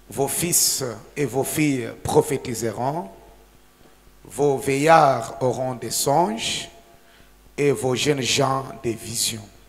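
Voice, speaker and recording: Music plays in the background as a man with a medium pitch speaks very slowly with fairly even intonation and long, frequent pauses. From DR Congo, Haut-Katanga (Lubumbashi). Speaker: pastor. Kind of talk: reading aloud.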